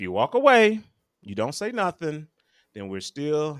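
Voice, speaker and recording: A man talks at a moderate pace in an ordinary speaking voice, with a dry, close sound and no echo. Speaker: podcast host. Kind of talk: heated debate.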